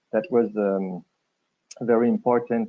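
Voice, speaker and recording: A man with a French accent talks at a medium pitch and a moderate pace. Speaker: government transport official. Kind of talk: presentation. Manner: halting, many hesitations.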